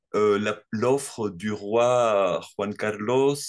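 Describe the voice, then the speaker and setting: The man's voice is fairly low in pitch. Behind him, the background stays quiet. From Morocco (Tangier). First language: Spanish (speaking French). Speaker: audience member asking a question. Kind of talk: question in an online Q&A. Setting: video call. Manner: halting.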